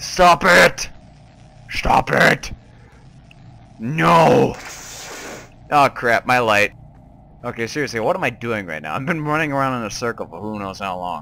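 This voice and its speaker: A man with a medium-pitched voice speaks at a fairly slow pace, leaving long, frequent pauses. His pitch swings very widely, and background noise is noticeable. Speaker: gaming YouTuber. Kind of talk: gameplay commentary, horror game reactions. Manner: animated, excitable, joking.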